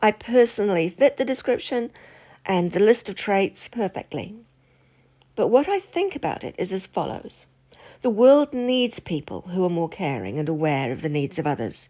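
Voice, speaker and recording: A woman of medium pitch speaks at a moderate pace, her pitch swinging very widely. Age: 60s. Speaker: channel host, spiritual commentator. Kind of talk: casual monologue to camera. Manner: hesitant, with fillers.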